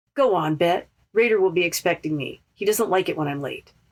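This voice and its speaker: A woman's put-on character voice, medium in pitch, with lively intonation at a fairly quick pace. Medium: read story.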